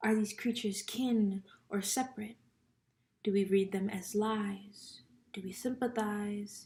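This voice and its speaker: A woman speaks at a fairly slow pace in a fairly high, somewhat breathy voice with a dark, mellow tone and flat, monotone intonation. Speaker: poetry reader. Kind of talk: reading aloud.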